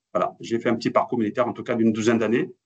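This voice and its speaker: A man talks at a very fast pace. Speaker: cybersecurity expert. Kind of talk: webinar presentation. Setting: online webinar. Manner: hesitant, many fillers.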